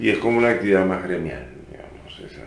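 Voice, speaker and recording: An Uruguayan accent with audible room echo. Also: man. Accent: Rioplatense Spanish (Uruguayan). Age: 50s. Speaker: musician and cultural venue director. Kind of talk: interview.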